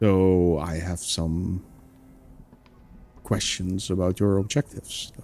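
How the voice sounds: The speaker adopts a put-on character voice with a dark, mellow tone. The pace is slow and the intonation fairly even. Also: man, low pitch for a man.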